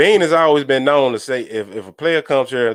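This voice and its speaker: A man with a Southern accent talks at a moderate pace with lively intonation on a very clean recording with a silent background. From US South. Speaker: sports fan podcaster. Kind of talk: casual live stream commentary.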